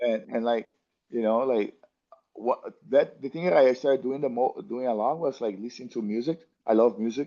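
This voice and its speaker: Speaking at a moderate pace with a Brazilian accent, a man has a dark, mellow tone against a quiet background. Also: medium pitch for a man, ordinary pitch variation. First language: Portuguese. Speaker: jiu-jitsu athlete. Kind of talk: interview. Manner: halting, many fillers and restarts.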